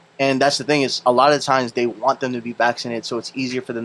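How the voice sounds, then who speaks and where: A man speaks at a very fast pace with a Filipino accent. His intonation is monotone and flat. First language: Filipino language. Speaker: podcast host and DJ. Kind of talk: casual chat.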